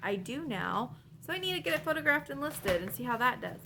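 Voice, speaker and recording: Over noticeable background noise, a woman talks at a very fast pace, her fairly high voice making very wide pitch swings. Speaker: online reseller, vlogger. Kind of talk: casual haul vlog. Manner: casual, chatty.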